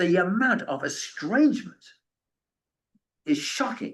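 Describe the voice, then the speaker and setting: Using very wide pitch swings, a man talks at a moderate pace and a high pitch. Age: 70s. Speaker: author and end-of-life speaker. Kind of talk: lecture with audience questions. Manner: halting, many repetitions.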